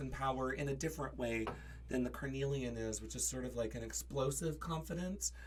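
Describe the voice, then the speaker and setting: A man's voice comes across with audible room echo. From US, Kansas. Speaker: witch sharing crystals and magic practice. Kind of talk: casual podcast conversation. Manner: halting, many fillers.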